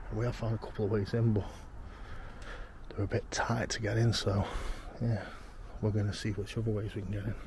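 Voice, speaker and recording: A man's fairly low, fry-tinged voice at a fairly quick pace, monotone and flat, with a dry sound free of echo and noticeable background noise. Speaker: urban explorer vlogger. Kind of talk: casual vlog commentary. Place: open country. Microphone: phone near.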